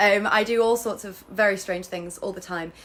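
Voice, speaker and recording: Using ordinary pitch variation, a woman with an English accent speaks at a moderate pace in a bright, sharp tone. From England. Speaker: actor, model and tour guide. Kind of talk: casual live stream product demo. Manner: chatty with many fillers.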